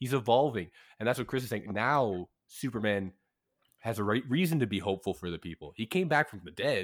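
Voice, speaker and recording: With lively intonation and a medium pitch, a man with an unremarkable speaking voice is captured on a very clean recording against a silent background. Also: fairly quick pace. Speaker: returning guest, film commentator. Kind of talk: casual chat.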